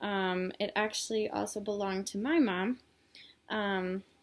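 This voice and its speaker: A woman with a medium pitch speaks in a monotone, flat intonation on a very clean recording with a silent background. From Illinois, US. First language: Polish. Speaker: student. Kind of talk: class presentation video. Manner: hesitant, many fillers.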